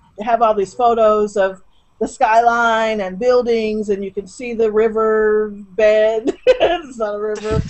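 Speech moves at a moderate pace against a quiet background. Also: woman. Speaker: guest. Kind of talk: interview answer. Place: home room. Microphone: webcam.

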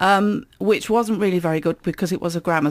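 A woman talks with a southeast English accent. The background is quiet. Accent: south-east English. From Kent, south-east England. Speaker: author. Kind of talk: interview. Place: studio. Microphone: studio mic.

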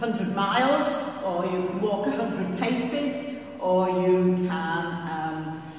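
Very slowly, a woman speaks with lively intonation. Strong room echo fills the recording. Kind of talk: church notices announcement. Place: church.

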